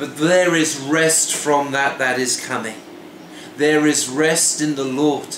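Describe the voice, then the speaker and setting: Speaking at a very slow pace with fairly even intonation, a man is heard with audible room echo and light background noise. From Wales. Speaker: pastor. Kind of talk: devotional sermon to camera. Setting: home kitchen. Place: kitchen. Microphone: phone near.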